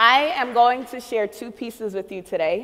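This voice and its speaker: A woman speaks with a Haitian accent and ordinary pitch variation, with noticeable background noise behind her. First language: Haitian Creole. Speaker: spoken word poet. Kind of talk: introductory remarks before performance.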